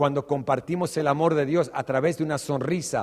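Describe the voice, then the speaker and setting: A man with an Australian accent talks at a moderate pace. His pitch is fairly high and his intonation fairly even. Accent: Australian-tinged Spanish. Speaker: pastor. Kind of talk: sermon.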